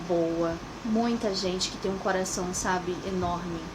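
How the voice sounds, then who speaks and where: A woman with a Brazilian accent speaks calmly at a moderate pace and medium pitch, with fairly even intonation. Noticeable background noise and audible room echo surround her voice. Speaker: immigrant vlogger. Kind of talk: personal vlog monologue.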